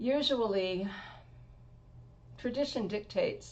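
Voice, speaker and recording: Vocal fry marks this woman's American-accented speech, which has ordinary pitch variation. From Washington State. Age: 60s. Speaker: motorcycle rider. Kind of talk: interview.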